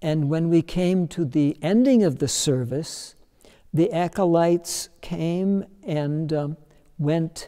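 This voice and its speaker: Against a quiet background, a man with a high pitch talks at a very slow pace with ordinary pitch variation. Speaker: longtime church member or former pastor. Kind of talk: interview answer. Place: church. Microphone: lapel.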